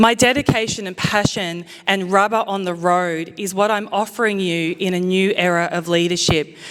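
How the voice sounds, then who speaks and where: A woman with an Australian accent speaks at a moderate pace, medium in pitch and fairly even in intonation, with hardly any pauses. There is noticeable background noise. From Australia, Queensland Sunshine Coast. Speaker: mayoral candidate. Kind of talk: campaign speech. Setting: event hall with audience, microphone. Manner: loud.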